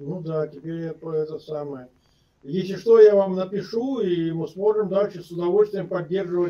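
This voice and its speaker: A man speaks at a moderate pace in a high pitch. His loudness swings widely. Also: ordinary pitch variation, quiet background. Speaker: video chat stranger; guest. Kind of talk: casual chat. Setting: video call. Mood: warm, friendly. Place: home room. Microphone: video call.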